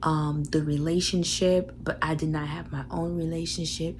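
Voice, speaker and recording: A woman is whispering. Audible room echo hangs around her words. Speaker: vlogger. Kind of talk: personal testimony.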